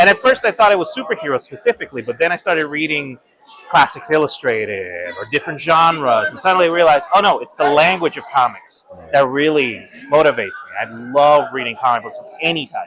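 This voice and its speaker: Talking at a very fast pace with a Spanish accent, a man uses a fairly high pitch, lively intonation and big swings in loudness over noticeable background noise. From Puerto Rico. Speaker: art professor. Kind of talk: interview. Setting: convention hall.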